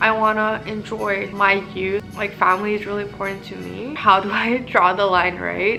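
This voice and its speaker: Music plays in the background while a woman talks at a moderate pace. Her intonation is monotone and flat, with hardly any pauses. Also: medium pitch for a woman, big swings in loudness. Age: 20s. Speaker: engineer and writer. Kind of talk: casual talk to camera.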